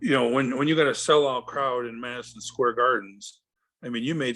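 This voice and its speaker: At a very fast pace, a man with a medium pitch talks in a bright, sharp tone. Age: 60s. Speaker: retired pro wrestler. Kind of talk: interview.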